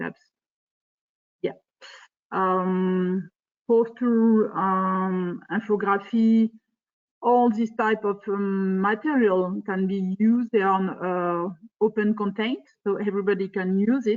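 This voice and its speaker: Pausing long and often, a woman speaks at a very slow pace with a medium pitch and fairly even intonation. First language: not English. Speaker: project presenter. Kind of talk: presentation. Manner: halting, many fillers.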